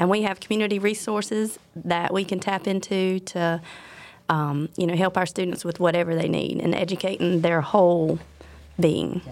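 Speaking at a moderate pace with a Southern US accent, a woman uses a fairly low pitch and fairly even intonation in a very clean recording with a silent background. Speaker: elementary school principal. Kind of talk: casual interview.

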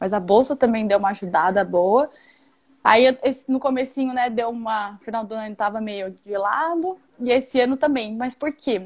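Her pitch fairly high, a woman speaks with ordinary pitch variation and keeps a moderate pace. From Mato Grosso do Sul, Brazil. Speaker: investor relations at an investment firm. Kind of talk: live-stream interview.

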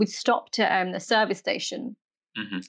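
A woman talks at a fairly quick pace with lively intonation. Hers is a normal speaking voice. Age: 30s. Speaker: podcast host. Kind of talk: casual interview.

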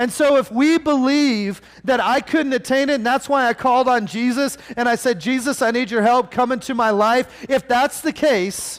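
A loud man with an extremely high pitch and an animated tone, ordinary pitch variation, moderate pace, on a very clean recording with a silent background. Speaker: preacher. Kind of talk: sermon. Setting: church with congregation. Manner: getting louder, animated.

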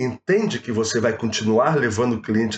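This man speaks at a medium pitch with a Rio de Janeiro accent. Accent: carioca. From Rio de Janeiro state, Baixada Fluminense. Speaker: proptech entrepreneur. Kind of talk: casual chat. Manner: animated.

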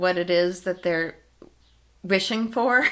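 A woman with a plain, everyday voice at a fairly slow pace, fairly even intonation, on a very clean recording with a silent background. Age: 60s. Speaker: yoga and dance teacher. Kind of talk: casual interview chat.

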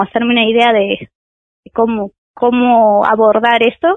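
This woman speaks at a fairly slow pace in a monotone, flat intonation. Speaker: biology doctoral student. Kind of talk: radio interview.

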